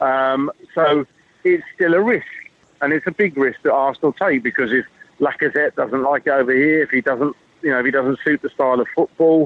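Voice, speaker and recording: With an English accent, a man talks at a fairly quick pace in a fairly high pitch, showing ordinary pitch variation. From England. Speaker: football journalist. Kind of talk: casual chat.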